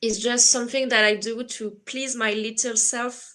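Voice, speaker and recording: Bright and sharp in tone, a voice with a French accent keeps fairly even intonation on a very clean recording with a silent background. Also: woman. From France. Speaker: writer. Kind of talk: casual interview. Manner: halting with many fillers.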